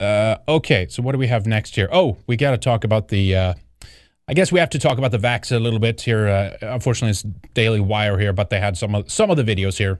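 Talking at a very fast pace in an animated tone, a man with a Swedish accent has a fairly low pitch and ordinary pitch variation. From Sweden. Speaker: online show host, commentator. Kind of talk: angry rant, sarcastic political commentary. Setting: live stream. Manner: animated, sardonic, indignant.

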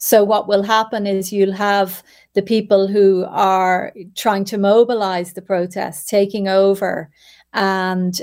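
A woman with an Irish accent speaks at a fairly slow pace and medium pitch in a monotone, flat intonation, in a very clean recording with a silent background. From Ireland. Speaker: journalist. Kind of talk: interview.

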